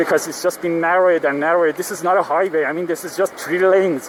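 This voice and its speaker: A man's flat, monotone voice in a Persian accent, over noticeable background noise. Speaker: vlogger. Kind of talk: casual vlog monologue. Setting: riding a motorcycle in traffic. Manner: halting, many fillers.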